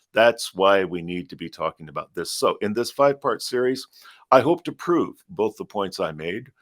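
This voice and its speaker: The sound is dry and close with no echo, on a very clean recording with a silent background. Speech moves at a moderate pace. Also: man. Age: 60s. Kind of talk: podcast monologue. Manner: animated.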